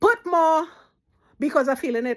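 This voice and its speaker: A Trinidadian accent at a moderate pace, in a very clean recording with a silent background. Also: woman. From Trinidad and Tobago. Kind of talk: casual storytelling to camera.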